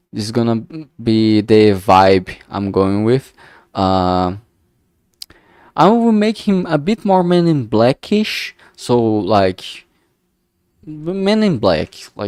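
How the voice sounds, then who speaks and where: In a strong Brazilian accent, the speaker goes very slowly with long, frequent pauses and very wide pitch swings, the sound dry and close with no echo on a very clean recording with a silent background. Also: man, medium pitch for a man. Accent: thick Brazilian Portuguese. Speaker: streamer, indie game developer. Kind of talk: casual live stream commentary. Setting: live stream. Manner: halting, many fillers and restarts.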